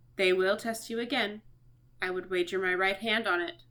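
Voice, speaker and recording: A woman's put-on character voice at a medium pitch. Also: moderate pace. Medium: read story.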